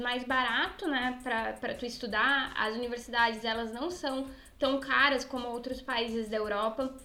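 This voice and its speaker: A woman speaks at a fairly slow pace. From southern Brazil, Rio Grande do Sul. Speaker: podcast co-host. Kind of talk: casual chat; news reading.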